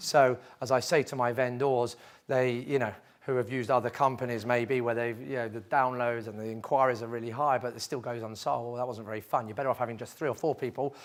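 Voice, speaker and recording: This man talks at a very fast pace. His pitch sits in the medium range and his intonation stays fairly even. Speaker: property auctioneer. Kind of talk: Q&A talk to a live audience.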